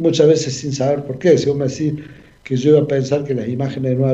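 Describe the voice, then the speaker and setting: Amid audible room echo, a man talks at a very fast pace in a fairly high pitch with monotone, flat intonation. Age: 50s. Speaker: paralympic athlete. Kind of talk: radio interview.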